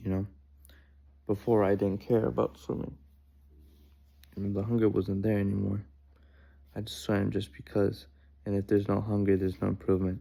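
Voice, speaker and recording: A man's fairly low, dark and mellow voice with ordinary pitch variation and long, frequent pauses. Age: 20s. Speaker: swimmer and vlogger. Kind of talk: personal vlog monologue. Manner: casual, halting with filler words.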